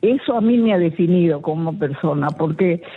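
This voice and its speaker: Music plays behind a woman speaking. Her pitch sits in the medium range with ordinary variation. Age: 80s+. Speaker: radio caller, retired health worker. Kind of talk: casual chat.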